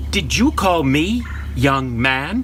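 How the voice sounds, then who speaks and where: Over clear background noise, a man speaks in a put-on character voice. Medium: stage play.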